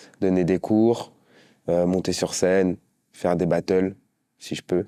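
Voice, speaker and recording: A man's very deep, low voice with a dark, mellow tone, recorded very cleanly against a silent background, the sound dry and close with no echo. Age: 20s. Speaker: professional dancer. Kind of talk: documentary interview. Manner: hesitant, many fillers.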